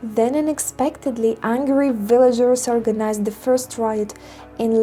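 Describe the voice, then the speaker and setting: A woman's fairly high voice with a non-native accent and lively intonation, music playing behind her. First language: not English. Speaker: environmental film reviewer. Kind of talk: video essay narration.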